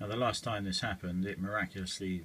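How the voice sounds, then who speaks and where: A man talks in a very deep, low pitch with monotone, flat intonation. There is light background noise. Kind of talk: casual complaint commentary. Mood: frustrated, wry laughter. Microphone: phone near.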